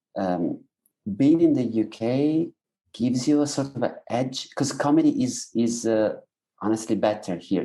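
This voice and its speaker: With an Italian accent, a man talks at medium pitch and moderate pace, with ordinary pitch variation. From Italy. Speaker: stand-up comedian. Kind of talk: casual interview chat. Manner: halting, with false starts.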